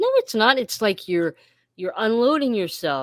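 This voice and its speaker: With an American accent, a woman speaks at a fairly slow pace in a fairly high pitch, in an ordinary speaking voice, on a very clean recording with a silent background and a dry, close sound with no echo. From Western Pennsylvania. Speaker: podcast co-host. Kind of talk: casual chat.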